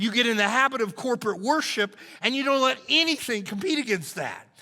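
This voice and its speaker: Using a raised, projected voice with a bright, sharp tone, a man speaks at a fairly quick pace with ordinary pitch variation. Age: 60s. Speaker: pastor. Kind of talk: sermon. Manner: animated.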